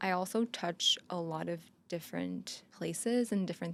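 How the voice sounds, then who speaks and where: A woman with a Quebec accent is heard on a very clean recording with a silent background. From Quebec, Montreal. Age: 30s. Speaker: photographer and content creator. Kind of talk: casual chat.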